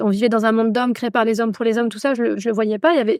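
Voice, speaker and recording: Here a woman's fairly high-pitched voice sits on a very clean recording with a silent background. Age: 40s. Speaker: meditation instructor and feminist activist. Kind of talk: casual interview conversation. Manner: halting, many fillers.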